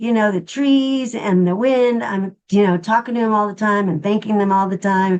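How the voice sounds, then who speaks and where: Using an unremarkable speaking voice, a woman talks at a moderate speed, her medium pitch showing ordinary variation. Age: 60s. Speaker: nonprofit worker and intuitive healer. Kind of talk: casual chat.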